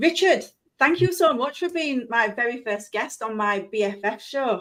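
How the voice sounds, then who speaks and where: A woman speaks with a Yorkshire accent. Her voice sits high in pitch. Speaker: live stream show host. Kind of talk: live stream interview. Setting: live stream video. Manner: chatty, fast.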